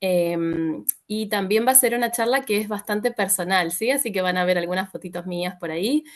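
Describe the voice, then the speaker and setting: A woman's medium-pitched voice in an Argentine accent, with ordinary pitch variation and a moderate pace. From Argentina, Buenos Aires. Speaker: psychologist. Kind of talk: talk. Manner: many filler sounds.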